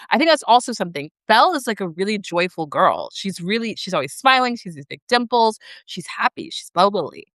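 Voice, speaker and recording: A woman speaks in an animated tone, with very wide pitch swings, big swings in loudness and hardly any pauses. The sound is dry and close with no echo. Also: fairly high pitch for a woman, fairly quick pace. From Texas, Dallas. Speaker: live streamer. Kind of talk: casual chat.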